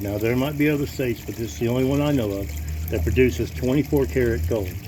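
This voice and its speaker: Audible room echo and noticeable background noise surround a man who talks at a very fast pace with very wide pitch swings. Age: 50s. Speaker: gold prospector. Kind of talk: casual tutorial. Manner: halting, with many fillers and repetitions.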